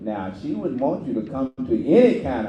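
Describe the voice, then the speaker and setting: Very wide pitch swings mark this man's medium-pitched voice. Audible room echo is present. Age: 80s+. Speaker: community elder speaker. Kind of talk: speech to audience. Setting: church.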